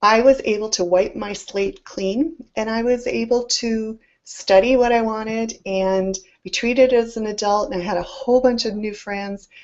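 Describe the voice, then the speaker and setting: Speaking at a moderate pace, a woman uses a fairly high pitch with fairly even intonation. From Scotland, moved to Canada at ten. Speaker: summit host and business speaker. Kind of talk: live presentation, personal story. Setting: live online presentation.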